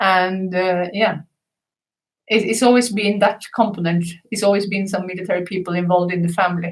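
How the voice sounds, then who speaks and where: A woman with a medium pitch talks at a fairly quick pace. Her intonation is monotone and flat. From Norway. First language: Norwegian. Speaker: manager and mother of a musician. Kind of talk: casual live stream chat.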